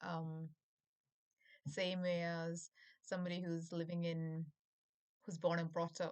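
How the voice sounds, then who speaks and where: A woman speaks in a Keralan accent at a fairly slow pace, leaving long, frequent pauses. Her intonation is monotone and flat. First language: Malayalam. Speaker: YouTuber. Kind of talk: casual monologue. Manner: halting.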